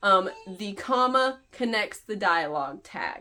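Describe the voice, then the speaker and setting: This woman has a plain, everyday voice, medium in pitch, with lively intonation. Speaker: author and editor. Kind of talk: tutorial. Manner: casual.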